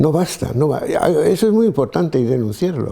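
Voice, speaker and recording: This man speaks at a moderate pace in a dark, mellow tone with vocal fry. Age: 80s+. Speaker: priest and theologian. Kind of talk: interview. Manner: halting, with many restarts.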